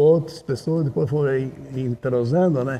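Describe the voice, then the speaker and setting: There is noticeable background noise behind the speaker. A man talks with ordinary pitch variation. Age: 80s+. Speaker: founder of a gaucho traditions club. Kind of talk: documentary interview testimony.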